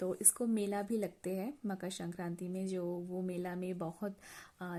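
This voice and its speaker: A woman speaks in a Bengali accent at a medium pitch, her tone dark and mellow. Her intonation is flat and monotone, and the recording is very clean with a silent background. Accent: Bengali-accented Hindi. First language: Bengali (speaking Hindi). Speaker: cooking vlogger. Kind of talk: casual vlog talk. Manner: halting, with many fillers.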